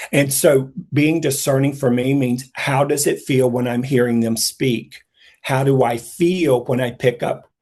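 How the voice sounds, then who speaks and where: This man has a normal speaking voice at a medium pitch. His intonation stays fairly even. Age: 60s. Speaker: psychic intuitive speaker. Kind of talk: casual chat.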